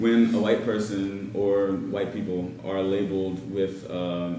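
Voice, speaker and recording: A man speaks in a very deep, low voice, with noticeable background noise and audible room echo. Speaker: student panelist. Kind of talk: panel discussion. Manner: halting, many fillers.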